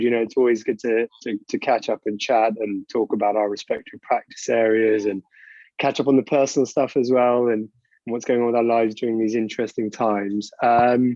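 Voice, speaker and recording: Using a British accent, a man talks at a fairly quick pace in a medium pitch with fairly even intonation. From United Kingdom. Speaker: corporate lawyer. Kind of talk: interview. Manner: conversational.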